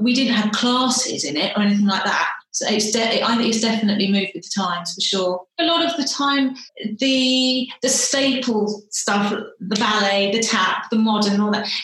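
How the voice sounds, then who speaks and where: A woman with a southern English accent speaks at a moderate pace in a fairly high voice, her pitch varying in an ordinary way, with audible room echo. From Kent, south-east England. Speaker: dancer and associate choreographer. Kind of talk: interview.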